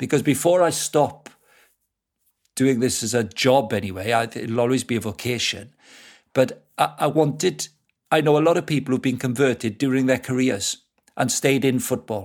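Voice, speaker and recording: A man with a Welsh accent, at a moderate pace with long, frequent pauses and ordinary pitch variation, in a very clean recording over a silent background. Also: medium pitch for a man. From South Wales. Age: 50s. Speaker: football club director and evangelist. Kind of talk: casual interview.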